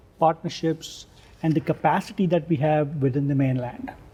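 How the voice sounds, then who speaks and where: A man with a dark, mellow tone. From India, Mumbai. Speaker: professor. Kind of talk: interview. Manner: halting, many fillers.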